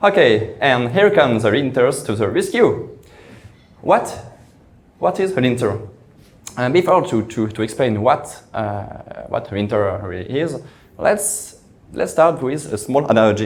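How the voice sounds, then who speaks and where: Heard with audible room echo, a man with a French accent speaks at medium pitch in a somewhat breathy voice, with very wide pitch swings and long, frequent pauses. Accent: French, noticeable. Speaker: software engineer. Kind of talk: conference talk. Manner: halting, repeated words.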